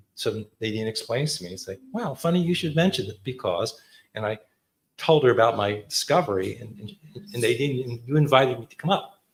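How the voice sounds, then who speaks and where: A man with an American accent talks at a fairly quick pace, his medium-pitched voice somewhat breathy. His intonation is lively and his loudness swings widely. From US Northeast, Clifton, New Jersey. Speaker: photographer. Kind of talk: artist talk. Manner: casual.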